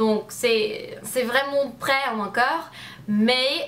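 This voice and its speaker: In an English accent, a woman speaks very slowly at a high pitch with ordinary variation, amid noticeable background noise. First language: English (speaking French). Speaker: youtuber. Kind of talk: casual chat. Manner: halting.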